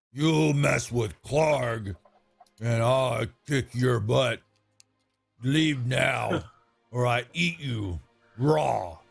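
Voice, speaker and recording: A put-on character voice, guttural and raspy, moves at a very slow pace with long, frequent pauses while faint music plays behind it. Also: man, medium pitch for a man. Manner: menacing, threatening.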